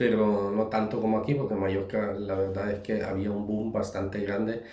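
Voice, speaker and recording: Noticeable noise sits behind the recording. A man speaks fairly slowly in a flat monotone at a fairly low pitch. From Germany. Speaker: business founder. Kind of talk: interview answer.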